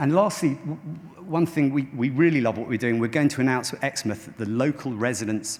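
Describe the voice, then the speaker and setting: A man's speech shows ordinary pitch variation. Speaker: tech company founder and CEO. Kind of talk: conference keynote talk. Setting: stage with audience. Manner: fast. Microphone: microphone quite far away.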